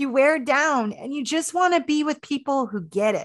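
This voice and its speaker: A woman with a General American accent speaks in a normal speaking voice at a moderate pace, her intonation lively. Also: quiet background. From Maryland, US (Washington DC area), early childhood on Navajo Nation. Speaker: historian and author. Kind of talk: interview conversation.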